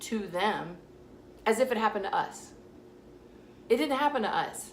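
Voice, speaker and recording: Amid noticeable background noise and audible room echo, a woman with an American accent speaks at a moderate pace and a fairly high pitch, with ordinary pitch variation. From US South. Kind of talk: vlog monologue. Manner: casual, direct.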